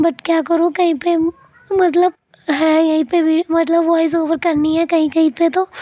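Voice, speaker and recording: Straining at an extremely high pitch, a woman speaks at a fairly slow pace with monotone, flat intonation and very even loudness, the sound dry and close with no echo. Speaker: family vlogger. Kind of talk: vlog voice-over narration. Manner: strained, forcing voice out.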